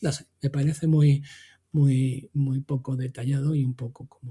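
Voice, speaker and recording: A somewhat breathy man's voice, fairly high in pitch with a dark, mellow tone and fairly even intonation, dry and close with no echo. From Extremadura, Spain. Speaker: tech podcast co-host. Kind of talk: casual chat. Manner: halting, many repetitions.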